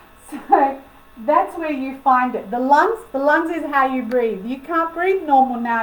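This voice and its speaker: Audible room echo follows a woman who speaks at a high pitch and a fairly slow pace with lively intonation. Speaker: astrologer / spiritual channel owner. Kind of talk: casual monologue to camera.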